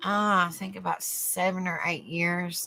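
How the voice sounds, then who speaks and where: A woman with a fairly low pitch and a strong Southern US accent, in a very clean recording with a silent background. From US South, East Tennessee. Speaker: online talk show host. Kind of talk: casual livestream chat. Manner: warm, chatty.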